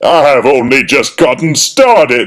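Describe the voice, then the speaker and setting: A fairly high-pitched, put-on character voice from a man, delivered at a moderate pace. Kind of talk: comic overacting. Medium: read story. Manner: grandiose, archaic, theatrical.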